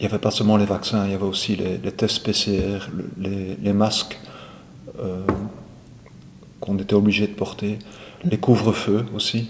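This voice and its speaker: A man speaks at a moderate pace with a fairly low pitch and fairly even intonation. He leaves long, frequent pauses. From Belgium, Brussels. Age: 60s. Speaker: retired airline pilot. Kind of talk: testimony.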